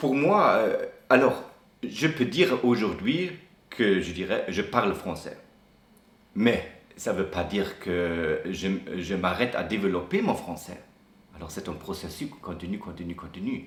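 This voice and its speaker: In a strong German accent, the speaker goes at a fairly slow pace with long, frequent pauses, and room echo is audible. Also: man. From Germany. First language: German (speaking French). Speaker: expat interviewee. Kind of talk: interview. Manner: halting, many hesitations and restarts.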